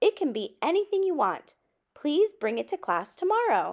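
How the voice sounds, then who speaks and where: Putting on a character voice, a woman speaks at a moderate pace in an extremely high, squeaky pitch with a gentle tone and very wide pitch swings. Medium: read story. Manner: gentle, encouraging.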